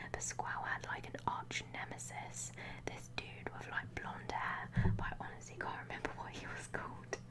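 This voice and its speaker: Whispering over noticeable background noise. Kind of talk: ASMR guidebook flip-through talk. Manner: whispered.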